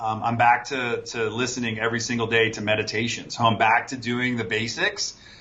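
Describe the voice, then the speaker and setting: A man at a medium pitch talks at a fairly quick pace with hardly any pauses. His intonation is monotone and flat, and there is noticeable background noise. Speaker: entrepreneur, fulfillment company owner. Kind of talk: interview, casual business chat. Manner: halting, repeats words.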